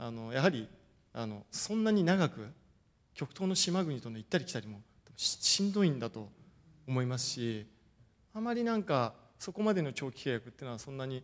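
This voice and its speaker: The delivery moves at a fairly quick pace with very wide pitch swings, big swings in loudness, and long, frequent pauses. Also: man. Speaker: football coach. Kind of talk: lecture. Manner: formal. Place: hall. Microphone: podium.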